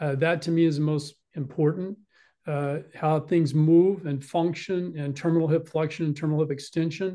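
A man with an American accent and a dark, mellow tone speaks at a moderate pace in a monotone, flat intonation over a quiet background. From Texas. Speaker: orthopedic surgeon. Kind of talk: lecture. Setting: video call. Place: home room. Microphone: webcam.

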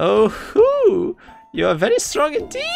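A man puts on a character voice at an extremely high pitch, speaking at a fairly slow pace over music in the background. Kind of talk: reading game dialogue aloud during a gameplay stream.

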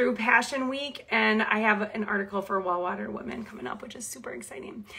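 A woman's animated, fairly quick speech with a slight Minnesota accent. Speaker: Bible teacher. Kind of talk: casual live stream chat. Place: home room. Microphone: phone near.

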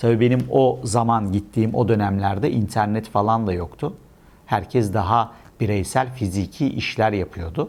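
A man with a fairly low pitch and vocal fry, lively intonation, at a moderate pace. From Istanbul, Turkey. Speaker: e-export consultant and trainer. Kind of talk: casual monologue to camera.

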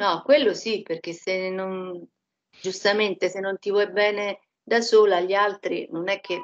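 A woman talks fairly slowly with fairly even intonation. The background is quiet. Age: 60s. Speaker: hypnosis session client. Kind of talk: personal testimony. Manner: halting. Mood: subdued, reflective. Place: home room. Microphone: echo from computer volume; headset.

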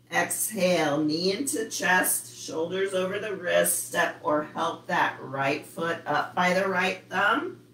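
Amid noticeable background noise, a woman with a warm, calm tone talks at a very slow pace and medium pitch, with ordinary pitch variation and hardly any pauses. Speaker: yoga instructor. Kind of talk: live online yoga class, guiding poses. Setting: video call. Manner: calm, instructive, slow and steady cues; warm, friendly, chatty with students.

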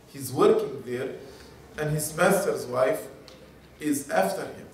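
A man at a fairly slow pace, with audible room echo and light background noise. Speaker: religious lecturer. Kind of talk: lecture. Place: hall.

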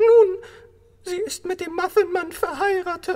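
The voice sits at an extremely high pitch and moves at a fairly slow pace. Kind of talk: fan dub film acting. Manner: defiant, then panicked pleading.

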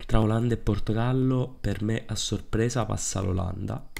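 Very deep, low pitch from a male speaker, intonation fairly even. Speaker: football YouTuber. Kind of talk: casual talk to camera. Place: home room. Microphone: studio mic.

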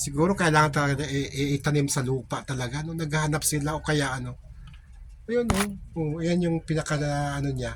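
Over noticeable background noise, a man with a fairly high pitch speaks at a fairly quick pace in fairly even intonation. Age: 50s. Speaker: vlogger. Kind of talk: casual vlog talk.

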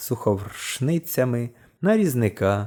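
This is a natural reading voice. The words are read in a natural way.

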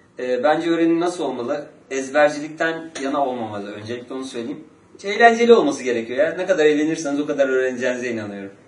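A man with a fairly high voice talks at a very fast pace, his intonation lively and his loudness swinging widely, with audible room echo around him. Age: 30s. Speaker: street interviewee; interviewee. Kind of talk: street interview. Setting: outdoors on the street. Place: meeting room. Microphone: camera far.

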